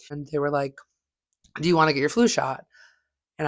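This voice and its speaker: A woman's very deep, low voice keeps a fairly even intonation. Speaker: stand-up comedian. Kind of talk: casual chat.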